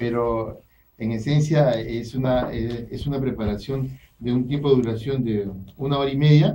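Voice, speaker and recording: A man speaks fairly slowly with fairly even intonation. Light background noise can be heard. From Peru. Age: middle-aged. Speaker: chef and restaurant owner; guest. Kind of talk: radio interview with cooking demonstration. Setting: radio studio. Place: studio. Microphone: studio mic.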